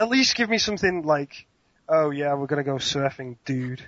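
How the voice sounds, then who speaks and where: The speaker has an English accent and talks at a fairly slow pace. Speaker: speedcuber. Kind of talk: casual chat. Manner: animated.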